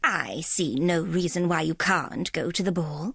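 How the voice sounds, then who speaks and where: Fairly low-pitched, moderately paced put-on character voice from a woman. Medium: read story. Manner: silky, controlled, condescending.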